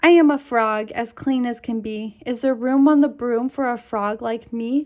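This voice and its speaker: Putting on a croaky character voice, a woman speaks at a high pitch and a moderate pace. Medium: read story.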